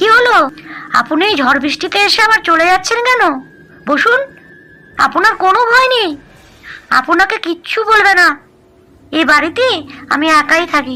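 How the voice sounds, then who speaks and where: In a cartoonish character voice, a female-sounding speaker goes at a moderate pace with an extremely high pitch. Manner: soft, pleading.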